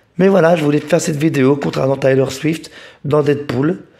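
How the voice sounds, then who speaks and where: Fairly high pitch from a man, with ordinary variation in that pitch. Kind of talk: casual talk to camera. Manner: hesitant, repeats words.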